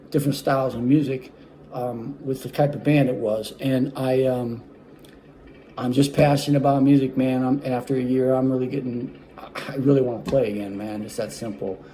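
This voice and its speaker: Over noticeable background noise, a man speaks in a monotone, flat intonation with big swings in loudness. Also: medium pitch for a man, moderate pace. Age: 60s. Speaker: saxophonist auditioning. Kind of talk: audition self-presentation. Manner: halting, many fillers.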